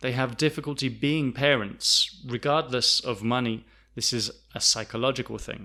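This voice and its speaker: The voice has a southern English accent and a bright, sharp tone. The recording is very clean, with a silent background. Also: man. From south of England. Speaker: English teacher. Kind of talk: lesson. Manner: slow, clear.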